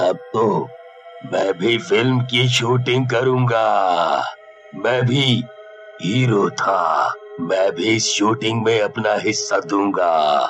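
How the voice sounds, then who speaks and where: A man's cartoonish character voice at medium pitch, very slow, with clear music in the background. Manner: cackling, taunting.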